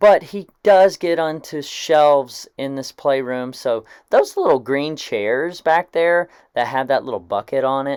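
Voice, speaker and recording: In a very clean recording with a silent background and a dry, close sound with no echo, a man with a fairly high pitch speaks in a normal speaking voice at a fairly slow pace with lively intonation. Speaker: husband doing the voiceover. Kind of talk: casual talk to camera, humorous voiceover over cleaning footage. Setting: voiceover recorded separately over home cleaning video. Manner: humorous, joking, conversational.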